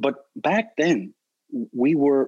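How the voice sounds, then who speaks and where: The sound is dry and close, with no echo. The voice moves through very wide pitch swings. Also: man. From Prince Edward Island, Canada. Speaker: dog trainer. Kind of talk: casual chat.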